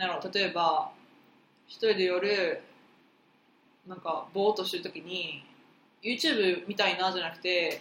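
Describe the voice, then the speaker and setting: Amid noticeable background noise, a woman talks at a fairly slow pace with fairly even intonation, big swings in loudness and long, frequent pauses. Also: medium pitch for a woman. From Osaka. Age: 20s. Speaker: podcast co-host, university student. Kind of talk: casual chat.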